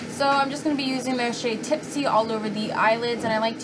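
Over music in the background, a woman speaks at a fairly quick pace with fairly even intonation. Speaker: beauty vlogger. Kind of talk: tutorial. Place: home room. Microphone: phone near.

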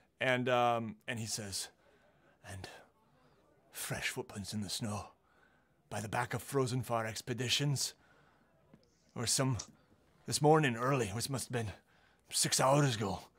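Using a put-on character voice, a man speaks at a medium pitch and a moderate pace with long, frequent pauses. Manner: paranoid, rambling.

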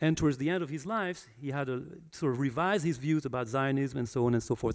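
Against a quiet background, a man with a fairly high voice talks very fast with ordinary pitch variation. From France. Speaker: historian; guest. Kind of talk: public talk. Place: hall. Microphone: handheld.

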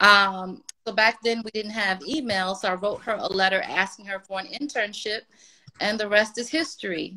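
A woman with an American accent speaks at a moderate pace in a bright, sharp tone. Her pitch varies an ordinary amount against a quiet background. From Washington, D.C. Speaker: music publicist; guest. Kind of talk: interview. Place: home room. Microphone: video call.

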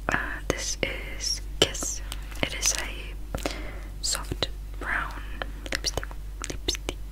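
Whispering from a woman, very slow in pace. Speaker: beauty vlogger. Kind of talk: casual vlog chat. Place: home room. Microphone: phone near.

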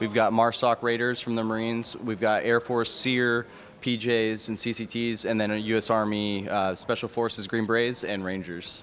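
A man talks at a moderate pace with monotone, flat intonation. Light noise sits in the background. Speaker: military parachutist; guest. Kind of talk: interview. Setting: outdoors. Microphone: handheld.

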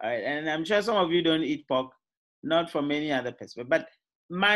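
Here a man talks at a fairly quick pace in a high voice. The background is quiet. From Ghana. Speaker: university lecturer. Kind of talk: lecture. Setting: video call. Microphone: video call.

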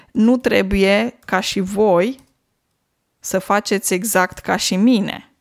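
Recorded very cleanly with a silent background, a woman with a medium pitch speaks very slowly. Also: dry, close sound with no echo. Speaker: language teacher podcaster. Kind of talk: casual monologue.

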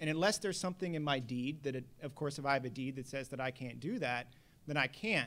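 Talking at a very fast pace, a man with an American accent keeps a fairly high pitch and ordinary pitch variation. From Texas, Houston. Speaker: attorney. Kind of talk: panel discussion. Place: hall. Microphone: podium.

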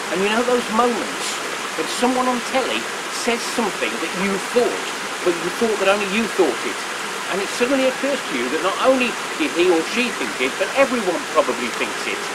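Amid loud background noise, a man speaks at a fairly quick pace with ordinary pitch variation. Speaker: presenter. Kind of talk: reflective commentary to camera. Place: waterside.

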